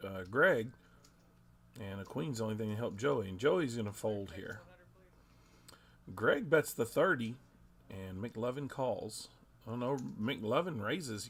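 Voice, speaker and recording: Speaking at medium pitch and a fairly slow pace, a man uses lively intonation and big swings in loudness, with long, frequent pauses. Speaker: poker commentator. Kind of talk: live commentary. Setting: poker room live stream. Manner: stumbling over words.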